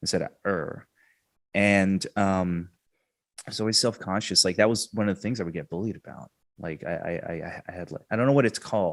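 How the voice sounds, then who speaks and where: A man with an American accent talks fairly quickly in a fairly low voice, with ordinary pitch variation and big swings in loudness. The recording is very clean, with a silent background. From England, then Texas. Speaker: improv comedian. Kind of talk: podcast interview. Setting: studio podcast mic. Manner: halting, many fillers.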